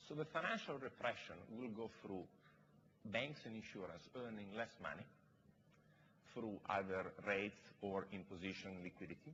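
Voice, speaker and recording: A man with a non-native accent speaks at a moderate pace, with long, frequent pauses. His pitch is fairly low and his tone bright and sharp. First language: not English. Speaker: investor, panelist. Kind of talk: panel discussion.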